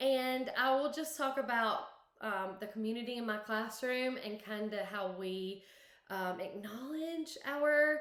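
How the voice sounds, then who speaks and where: A woman speaks at a fairly slow pace in a Southern US accent, with ordinary pitch variation. Her pitch is fairly high, and audible room echo surrounds her voice. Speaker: kindergarten teacher. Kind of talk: conference presentation.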